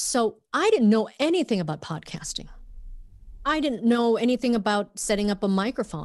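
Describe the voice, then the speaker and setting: A woman with a plain, everyday voice speaks at a fairly high pitch. Her pace is moderate and her intonation lively. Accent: American. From Minnesota, US. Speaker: journalist and podcast host. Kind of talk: casual interview chat.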